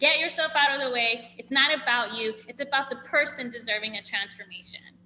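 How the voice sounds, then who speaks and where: A high-pitched woman, animated in tone and fairly quick in pace, over noticeable background noise. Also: ordinary pitch variation. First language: not English. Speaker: physical therapist, functional medicine practitioner. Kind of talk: interview.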